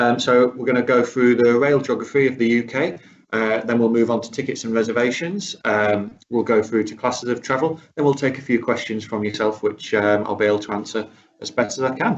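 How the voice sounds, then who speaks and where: Speaking with a British accent, a man uses fairly even intonation at a medium pitch. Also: fairly quick pace. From UK. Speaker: rail travel specialist presenter. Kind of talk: webinar presentation. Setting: online webinar.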